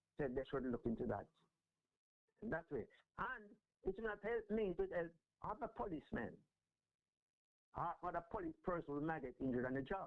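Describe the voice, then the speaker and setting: A high-pitched man, fairly quick, with very wide pitch swings. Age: 70s. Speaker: retired police officer. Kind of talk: interview. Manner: halting, repetitive.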